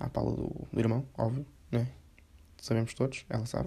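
A man talks at a moderate pace with a dark, mellow tone. His voice is somewhat breathy. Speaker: podcaster. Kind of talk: casual monologue.

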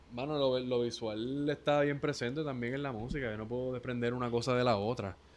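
A man with a Puerto Rican accent talks at a fairly quick pace with hardly any pauses, his pitch medium and his intonation fairly even. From Puerto Rico, Ponce. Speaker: musician. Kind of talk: casual interview chat.

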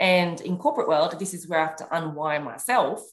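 This woman's voice sits fairly low, with ordinary pitch variation. She has an unremarkable speaking voice. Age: 30s. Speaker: clubhouse strategist and leadership coach. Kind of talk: casual chat.

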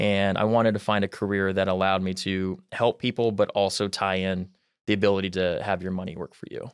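Against a quiet background, a man talks at a fairly quick pace in a monotone, flat intonation. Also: fairly low pitch for a man. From US Midwest, Mount Pleasant, Iowa. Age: 20s. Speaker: financial advisor. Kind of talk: interview.

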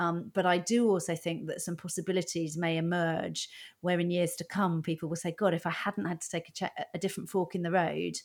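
On a very clean recording with a silent background, a woman with fairly low pitch speaks at a fairly quick pace, with hardly any pauses and monotone, flat intonation. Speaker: stand-up comedian. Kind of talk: casual chat.

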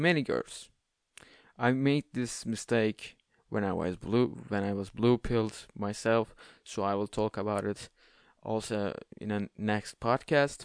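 A man with a non-native accent speaks at a fairly slow pace, with a fairly low pitch and ordinary pitch variation, leaving long, frequent pauses. The sound is dry and close with no echo, over a quiet background. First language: not English. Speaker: podcast host. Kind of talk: monologue advice podcast. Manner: halting; casual.

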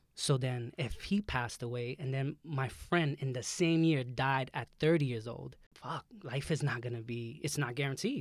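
A man speaks in a New York accent at a moderate pace, with hardly any pauses. His pitch is medium with ordinary variation. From Brooklyn, New York. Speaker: nutritionist and photographer. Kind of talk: casual chat. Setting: studio.

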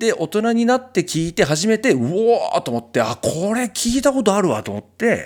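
A man's high-pitched voice at a fairly quick pace, in a very clean recording with a silent background. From Japan, Kitakyushu, Fukuoka. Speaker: singer-songwriter and podcast host. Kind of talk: casual chat.

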